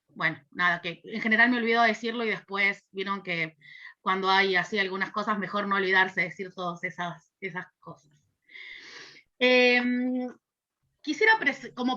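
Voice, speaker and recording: Ordinary pitch variation marks speech delivered at a moderate speed. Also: woman. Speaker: university lecturer in social work. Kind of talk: lecture. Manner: hesitant fillers.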